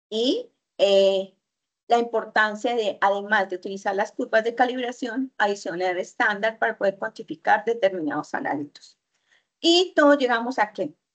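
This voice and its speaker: An ordinary speaking voice from a woman, fairly high in pitch, with lively intonation, a moderate pace and a quiet background. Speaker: university chemistry lecturer. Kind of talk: online lecture.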